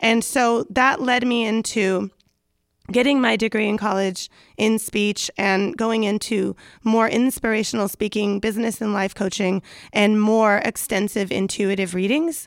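A woman speaks fairly slowly in a slight Southern California accent, her pitch fairly high and her intonation fairly even. Her loudness stays very even on a very clean recording with a silent background. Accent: slight Valley Girl. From US, San Fernando Valley, California. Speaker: podcast host and life coach. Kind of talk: casual chat.

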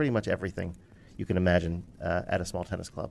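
A man talks with an American accent and ordinary pitch variation. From Philadelphia. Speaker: IT consulting firm partner. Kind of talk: interview. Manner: halting, many fillers.

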